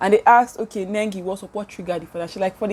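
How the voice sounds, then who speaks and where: At a medium pitch, a woman speaks in an animated tone. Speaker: YouTuber. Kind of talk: casual commentary. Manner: fast.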